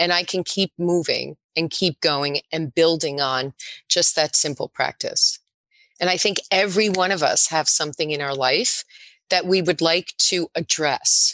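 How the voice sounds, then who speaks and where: A woman with a plain, everyday voice speaks fairly slowly at a fairly low pitch with ordinary pitch variation, in a dry, close sound with no echo. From New Jersey (Spring Lake). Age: 60s. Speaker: juice bar owner. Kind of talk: casual chat.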